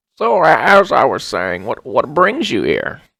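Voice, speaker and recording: At a moderate speed, the man puts on a character voice. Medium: actual play. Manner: friendly, hesitant.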